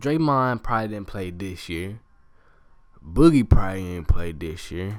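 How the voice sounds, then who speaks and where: Animated, lively intonation at a moderate pace, with big swings in loudness on a very clean recording with a silent background. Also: man, fairly low pitch for a man. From US South, Georgia (Columbus). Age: 20s. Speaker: student podcaster, sports fan. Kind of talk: casual solo podcast monologue. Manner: animated, repetitive.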